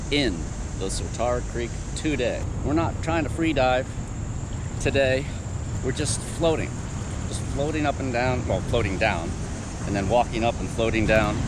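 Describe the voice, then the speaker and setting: A man's voice with ordinary pitch variation and long, frequent pauses, dry with no echo, over loud background noise. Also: moderate pace. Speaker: outdoor treasure-hunting vlogger. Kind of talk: casual vlog chat. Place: waterside. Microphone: phone near.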